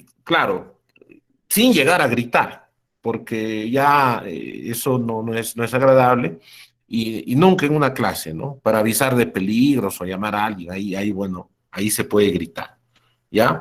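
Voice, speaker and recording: On a very clean recording with a silent background, a man at a medium pitch speaks at a fairly slow pace with lively intonation. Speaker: university lecturer. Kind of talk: lecture. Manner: halting; loud.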